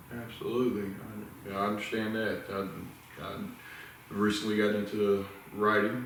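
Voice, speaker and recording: Over noticeable background noise and audible room echo, a man with a Southern US accent speaks at a fairly low pitch in a monotone, flat intonation. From US South, the Carolinas (Wilmington, North Carolina). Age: 50s. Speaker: interviewer and ministry leader. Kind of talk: casual interview chat. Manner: slurred, stuttering speech from illness.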